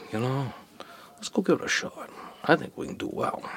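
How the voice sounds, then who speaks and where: A man with a Maine accent speaks over noticeable background noise. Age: 60s. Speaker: fisherman. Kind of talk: interview. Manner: animated.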